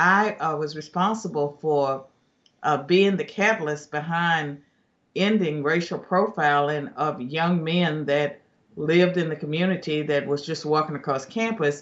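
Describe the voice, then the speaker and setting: A plain, everyday voice from a man, fairly high in pitch, at a fairly slow pace with ordinary pitch variation. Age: 60s. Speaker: political commentator, former professor. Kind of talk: news interview.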